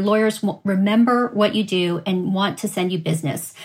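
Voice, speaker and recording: Noticeable background noise sits behind a woman speaking at a moderate pace, her medium pitch showing ordinary variation. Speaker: attorney, bankruptcy trainer and mediator. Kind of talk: short advice and introduction.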